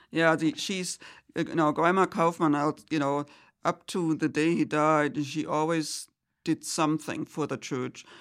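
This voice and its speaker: Fairly slow and with fairly even intonation, a woman speaks in a very deep, low voice on a very clean recording with a silent background. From Germany. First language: German. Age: 70s. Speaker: churchgoer. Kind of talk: casual chat. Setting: studio. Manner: halting, many fillers.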